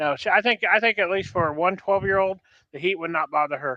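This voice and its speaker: In a dry, close recording with no echo, a man talks very fast in a raised, projected voice, high in pitch with a bright, sharp tone. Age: 60s. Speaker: podcast co-host. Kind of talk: casual chat.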